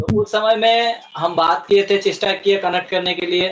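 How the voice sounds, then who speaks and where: Here a man speaks with a Bengali accent and a high pitch. His intonation stays fairly even. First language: Bengali (speaking Hindi). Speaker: community representative. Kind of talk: interview. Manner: halting, with filler sounds.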